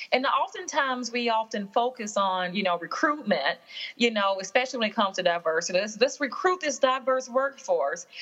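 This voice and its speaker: A woman with a Southern US accent speaks at a fairly high pitch. She moves at a fairly quick pace, and her pitch swings very widely. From Alabama, US South. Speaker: workplace consultant and author. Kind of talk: casual interview chat. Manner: warm, comforting delivery.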